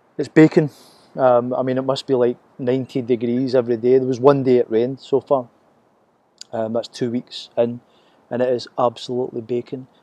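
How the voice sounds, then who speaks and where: Speaking in a Glasgow accent, a man keeps a monotone, flat intonation at a fairly quick pace. His medium-pitched voice has a dark, mellow tone, recorded dry and close with no echo. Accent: Scottish (Glaswegian), noticed by Americans. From Scotland, Glasgow. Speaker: vlogger. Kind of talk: casual video diary. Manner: unscripted, hesitant with fillers.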